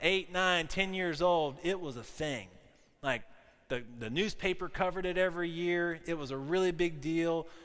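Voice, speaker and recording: A man with an American accent speaks at a moderate pace in a high pitch. His tone is bright and sharp, and audible room echo can be heard. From US South, South Carolina. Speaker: pastor. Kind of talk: sermon. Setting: church.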